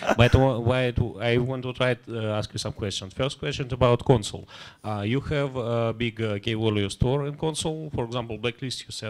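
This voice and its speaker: Speaking with a Russian accent, a man keeps a fairly quick pace and fairly even intonation. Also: medium pitch for a man, hardly any pauses. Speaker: audience member. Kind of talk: audience question. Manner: halting.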